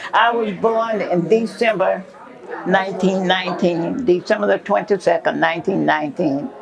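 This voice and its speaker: Noticeable background noise runs under a woman speaking at a medium pitch. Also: ordinary pitch variation, moderate pace. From Tennessee. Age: 80s+. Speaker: retired sorority elder. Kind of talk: interview.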